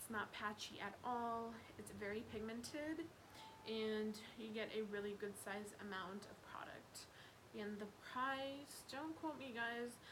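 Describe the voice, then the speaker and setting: Noticeable background noise and audible room echo surround a woman whose voice sits fairly high. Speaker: beauty vlogger. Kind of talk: casual product review monologue. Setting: home living room.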